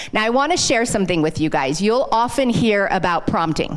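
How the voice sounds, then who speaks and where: A woman's animated tone carries audible room echo. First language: not English. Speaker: sales consultant. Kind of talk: live workshop presentation. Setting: stage with audience, handheld mic.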